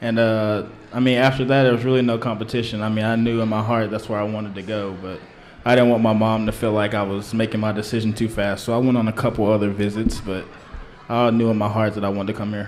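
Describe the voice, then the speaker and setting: A man with an American accent talks at a very fast pace in a fairly low, monotone, flat voice. Noticeable background noise and audible room echo surround him. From Oklahoma (Guthrie). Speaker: college football player. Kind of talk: radio interview.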